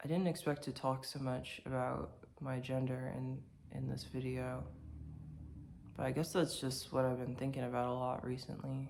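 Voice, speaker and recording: The speech moves at a moderate pace, marked by long, frequent pauses. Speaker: vlogger. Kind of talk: casual monologue vlog. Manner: halting, many fillers and restarts.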